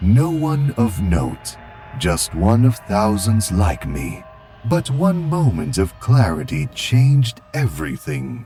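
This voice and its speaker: A man speaks in a put-on character voice at a fairly slow pace. His pitch is medium and swings very widely. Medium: fan dub. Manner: calm, serene.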